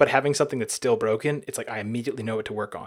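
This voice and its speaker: Intonation stays fairly even as a man talks. The recording is very clean, with a silent background. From US South, Alabama. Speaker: software developer and designer. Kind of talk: interview. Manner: hesitant, many fillers.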